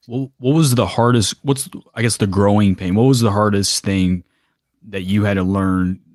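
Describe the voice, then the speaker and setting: Speaking with an American accent, a man uses a fairly low voice and ordinary pitch variation at a moderate pace, the sound dry and close with no echo. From US South, Kentucky. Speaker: podcast host and YouTuber. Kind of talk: casual interview chat.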